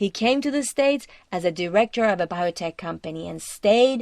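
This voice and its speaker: A woman with a normal speaking voice talks at a moderate pace with lively intonation on a very clean recording with a silent background. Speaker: cross-cultural coach. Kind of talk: podcast narration.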